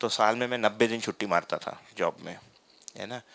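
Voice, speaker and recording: A man with a Tamil accent speaks at a moderate pace in a flat, monotone way, his tone bright and sharp. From Tamil Nadu, India. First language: Tamil (speaking Hindi). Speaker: workshop facilitator, philosophy teacher. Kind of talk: personal testimony in a lecture. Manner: hesitant, many fillers.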